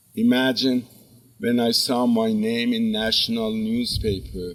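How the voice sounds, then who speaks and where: A man with an Azerbaijani accent speaks fairly slowly at a medium pitch with fairly even intonation. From Iran (Zanjan, northwest). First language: Azerbaijani Turkish. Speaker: professor. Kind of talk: commencement speech.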